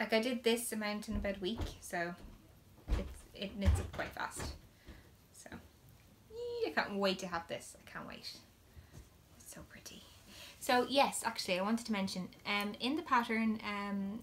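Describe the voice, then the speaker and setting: The speaker talks at a moderate pace with an Irish accent and ordinary pitch variation. Long pauses come often, and the loudness swings widely. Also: woman, fairly high pitch for a woman. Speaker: knitting podcaster. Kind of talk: casual chat.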